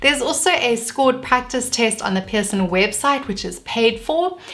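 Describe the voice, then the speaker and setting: In a South African accent, a woman talks with lively intonation. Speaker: vlogger. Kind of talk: tutorial.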